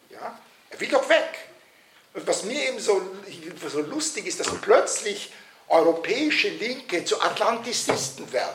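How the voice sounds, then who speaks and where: Speaking at a fairly slow pace, a man leaves long, frequent pauses and makes big swings in loudness, with audible room echo and noticeable background noise. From Vienna, Austria. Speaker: political scientist and author. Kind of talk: lecture. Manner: halting, many fillers.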